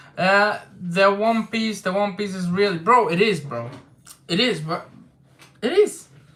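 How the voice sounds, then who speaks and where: A man with a non-native accent speaks very slowly in a raised, projected voice that is high-pitched, bright and sharp. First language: not English. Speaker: manga discussion youtuber. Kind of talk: livestream chat. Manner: casual, hesitant with fillers.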